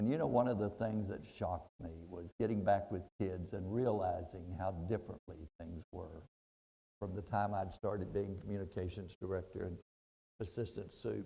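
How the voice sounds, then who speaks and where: In a Texan accent, a man speaks at a moderate pace with a very deep, low pitch, a somewhat breathy, dark and mellow tone, and ordinary pitch variation. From Texas (Brownwood). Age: 70s. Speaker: motivational speaker, retired school principal. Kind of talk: motivational speech.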